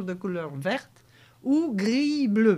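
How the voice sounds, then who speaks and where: A woman with a Poitou accent, fairly high in pitch with very wide swings, in a very clean recording over a silent background. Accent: Poitevin regional patois. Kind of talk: local TV heritage talk show. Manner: casual, conversational, with frequent fillers.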